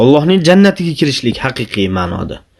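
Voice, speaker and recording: This man speaks at a very fast pace. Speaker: Islamic preacher. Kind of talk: religious talk.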